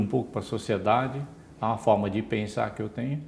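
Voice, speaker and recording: Vocal fry runs through a man's medium-pitched voice, which keeps a fairly even intonation. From Brazil, São Paulo state interior. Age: 60s. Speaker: retired engineer and former executive. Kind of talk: interview.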